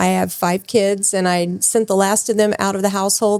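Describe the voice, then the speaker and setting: In an ordinary speaking voice, a woman talks at medium pitch and a moderate pace, with fairly even intonation. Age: 60s. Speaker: nurse. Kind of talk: interview.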